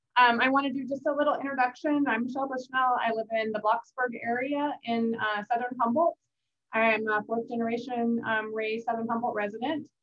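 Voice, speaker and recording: A woman with an American accent, high pitch, fairly even intonation and a fairly quick pace. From Northern California. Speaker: county supervisor. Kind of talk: talk at meeting. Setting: video call. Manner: fast.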